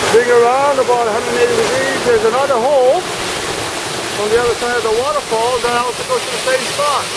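Very fast speech under loud background noise. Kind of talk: casual vlog chat. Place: waterside. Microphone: phone near.

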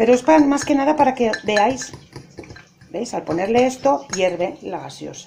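A woman speaks at a moderate pace with very wide pitch swings. There is light background noise. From Spain. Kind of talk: cooking tutorial. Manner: animated. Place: kitchen. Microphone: phone near.

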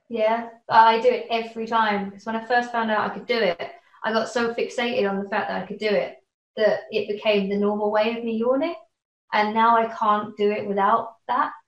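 A woman's fairly high voice at a fairly quick pace, with fairly even intonation, big swings in loudness and audible room echo. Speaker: interview guest. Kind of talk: casual interview. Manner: rambling, filler-heavy. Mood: light, amused anecdote. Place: home room. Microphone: webcam.

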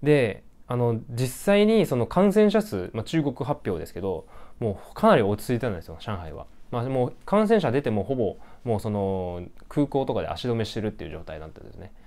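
A man talks at a fairly quick pace with a dark, mellow tone. His pitch swings very widely and his loudness rises and falls a lot. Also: medium pitch for a man. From Japan. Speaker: graduate student vlogger. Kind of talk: casual vlog monologue. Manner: many fillers, halting. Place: home room. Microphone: lapel.

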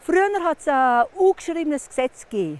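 In a Vorarlberg accent, a woman speaks at an extremely high pitch with very wide pitch swings and a dry sound with no echo. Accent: Montafon dialect. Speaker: storyteller. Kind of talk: folk legend telling. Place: open country.

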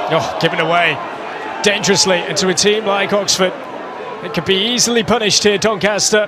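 A man speaks in a raised, projected voice at a high pitch and a fairly quick pace. Long, frequent pauses break up his speech, and background noise is noticeable. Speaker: football commentator. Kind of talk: live football match commentary. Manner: builds excitement in short bursts as chances come.

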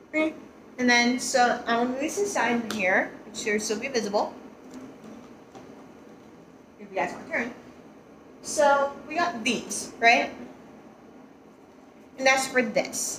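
A woman speaks slowly at a fairly high pitch, with long, frequent pauses. Room echo is audible. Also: ordinary pitch variation, fairly bright tone.

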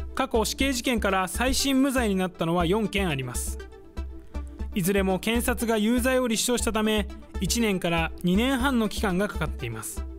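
Faint music plays behind the voice. A man talks at a fairly quick pace. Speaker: news reporter. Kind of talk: TV news report. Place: studio. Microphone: lapel.

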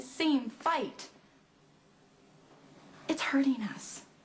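The woman's intonation is lively, and she talks at a moderate speed. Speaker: actress in drama scene. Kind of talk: acted dramatic dialogue. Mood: upset, pleading, frustrated. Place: home room.

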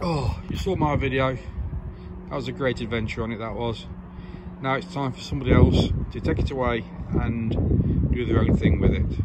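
A man at a moderate pace, long, frequent pauses and loud background noise. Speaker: vlogger selling a bike. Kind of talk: casual vlog chat. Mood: cheerful, upbeat. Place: street. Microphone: phone near.

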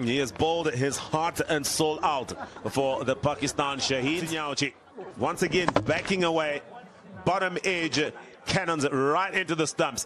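At a fairly slow pace, a man with a fairly high pitch talks with very even loudness and ordinary pitch variation against noticeable background noise. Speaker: cricket commentator. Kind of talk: live ball-by-ball cricket commentary.

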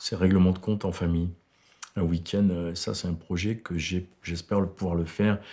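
With a very deep, low pitch and a dark, mellow tone, a man talks at a moderate pace with fairly even intonation against a quiet background. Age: 60s. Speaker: film director. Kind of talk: interview. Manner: halting.

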